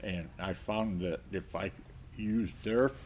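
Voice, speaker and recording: Vocal fry runs through this man's speech. His pitch varies in an ordinary way. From South Dakota. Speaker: war veteran. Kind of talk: interview answer.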